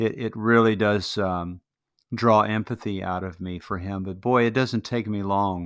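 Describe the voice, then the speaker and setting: On a very clean recording with a silent background, a man speaks slowly-ish in a fairly low voice, with fairly even intonation and a fairly slow pace. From Chicago. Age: 60s. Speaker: podcast interviewer. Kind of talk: interview conversation. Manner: halting.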